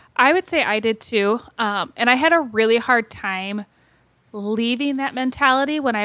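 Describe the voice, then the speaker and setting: A woman with an ordinary speaking voice talks with an American accent at a fairly high pitch and ordinary pitch variation. The recording is very clean, with a silent background and a dry, close sound with no echo. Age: 30s. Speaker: teacher and podcast co-host. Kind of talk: casual chat.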